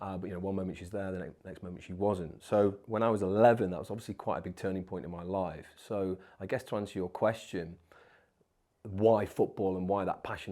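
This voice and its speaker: In a very clean recording with a silent background, a man with an East Midlands accent speaks at a fairly quick pace with a very deep, low pitch, a dark, mellow tone and monotone, flat intonation. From English East Midlands (Nottingham/Mansfield), born in Wigan. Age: 30s. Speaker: former special forces soldier and entrepreneur. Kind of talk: interview.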